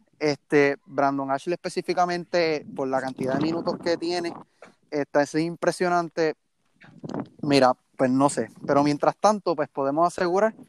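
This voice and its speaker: This man talks at a moderate pace in a fairly high pitch with ordinary pitch variation, the sound dry and close with no echo. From Puerto Rico, Mayagüez. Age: young. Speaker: sports team social media director. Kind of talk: casual sports chat. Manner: halting, frequent repetitions.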